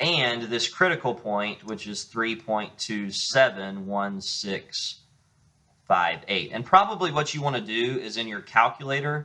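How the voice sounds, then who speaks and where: With a bright, sharp tone and lively intonation, a man speaks at a fairly slow pace, his loudness swinging widely. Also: medium pitch for a man. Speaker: math teacher. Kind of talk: lecture.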